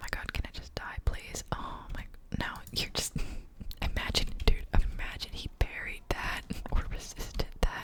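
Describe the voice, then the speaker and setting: Someone whispers in a relaxed tone at a moderate pace, with noticeable background noise. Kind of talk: ASMR gaming commentary to camera, casual rambling. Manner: whispered, soft-spoken, relaxed.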